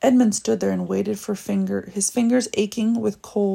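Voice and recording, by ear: Someone is reading aloud in a natural voice. The reading is the whole clip.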